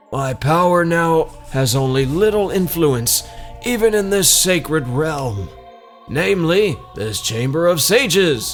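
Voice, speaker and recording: Over clear music in the background, a man does a put-on character voice at a fairly high pitch and a fairly slow pace. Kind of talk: solemn game dialogue reading. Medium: game stream. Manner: grave, formal.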